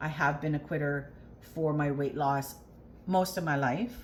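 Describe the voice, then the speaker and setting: A somewhat breathy woman speaks at a fairly slow pace in a very deep, low voice, with ordinary pitch variation. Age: 50s. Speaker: weight loss vlogger. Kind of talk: personal vlog. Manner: hesitant, many fillers.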